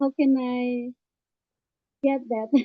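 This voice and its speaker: Her voice high-pitched and her intonation monotone and flat, a woman speaks in an Indonesian accent. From Ambon, Indonesia. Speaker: participant, English learner. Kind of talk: audience question. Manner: halting.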